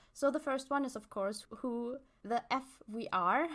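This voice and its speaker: A woman's high-pitched voice. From England. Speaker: podcast host. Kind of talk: casual chat.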